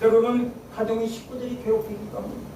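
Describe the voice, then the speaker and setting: A man speaks at a moderate pace with a high pitch. The recording has noticeable background noise and audible room echo. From Seoul, South Korea. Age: 60s. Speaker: pastor. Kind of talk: sermon. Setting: church prayer meeting.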